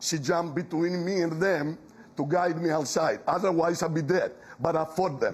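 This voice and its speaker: Audible room echo surrounds the recording. A man speaks at a high pitch. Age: 70s. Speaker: audience member, veteran. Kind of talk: town hall question.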